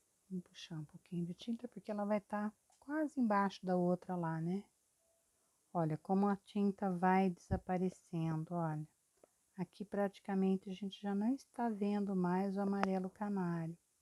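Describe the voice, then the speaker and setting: Soft-spoken and at a moderate pace, a woman talks with a dark, mellow tone, medium pitch and fairly even intonation in a dry, close sound with no echo. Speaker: painting teacher. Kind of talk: tutorial.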